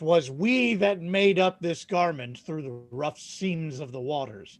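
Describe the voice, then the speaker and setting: Using a put-on character voice, a man speaks at a fairly slow pace in a fairly high pitch. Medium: stage play. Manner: jokey, wry.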